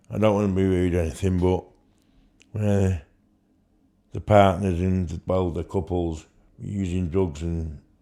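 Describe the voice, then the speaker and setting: With a Mancunian accent, a man speaks at a fairly slow pace in a very deep, low, dark, mellow voice, his intonation fairly even and his speech broken by long, frequent pauses. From Manchester, England. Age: 50s. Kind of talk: interview answer.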